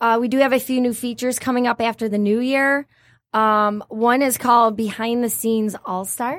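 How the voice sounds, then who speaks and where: On a very clean recording with a silent background, a woman with an ordinary speaking voice talks at a moderate pace and a fairly high pitch with fairly even intonation. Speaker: magazine publisher representative. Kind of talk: interview answers, explaining a company.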